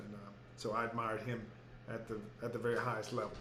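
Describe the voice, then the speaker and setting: A man speaks with a Texas accent. Noticeable background noise and audible room echo surround him. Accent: Texas twang. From Houston, Texas. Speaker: educator and author. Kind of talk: interview. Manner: halting, many fillers.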